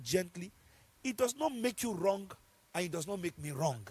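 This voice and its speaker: Loud and animated, a man speaks at a high pitch with lively intonation. His pace is moderate. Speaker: pastor. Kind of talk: sermon.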